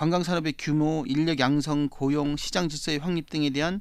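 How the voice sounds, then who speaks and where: A man at a moderate pace. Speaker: provincial council member. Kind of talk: panel debate. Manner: animated.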